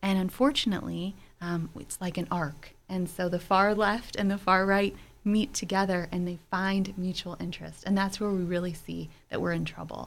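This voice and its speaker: A woman with an American accent and a normal speaking voice talks at a moderate pace in a medium pitch, with fairly even intonation. The recording is very clean, with a silent background. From Pittsburgh, Pennsylvania (Fox Chapel). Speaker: advocacy group regional director. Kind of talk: radio interview. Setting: radio studio.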